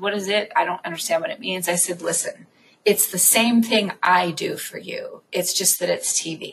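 At a moderate pace, a woman speaks in an animated tone at a medium pitch with ordinary pitch variation. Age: 40s. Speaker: podcast host and network founder. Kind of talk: casual interview.

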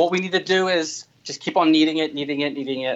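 Using a plain, everyday voice, a man speaks with ordinary pitch variation. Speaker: makeup artist. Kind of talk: tutorial. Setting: studio.

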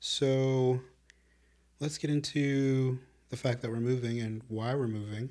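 A man with an American accent, medium pitch and a dark, mellow tone, flat and monotone, at a fairly slow pace with long, frequent pauses. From Chicago. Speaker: podcast co-host. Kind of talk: casual chat. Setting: video podcast recording.

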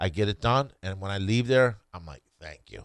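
Vocal fry runs through this man's very deep, low voice. He keeps a moderate pace. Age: 50s. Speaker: competitive eater and author. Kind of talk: casual chat. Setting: studio.

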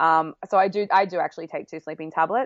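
A woman with an Australian accent, medium pitch and an animated tone. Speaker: travel blogger and producer. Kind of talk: casual chat. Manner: animated, laughs often.

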